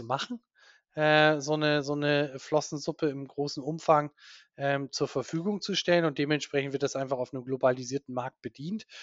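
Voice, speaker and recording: Fairly even intonation marks speech delivered at a moderate speed. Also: man. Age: 40s. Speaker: diving instructor and marine conservation campaigner. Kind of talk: interview. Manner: halting, many fillers and repetitions.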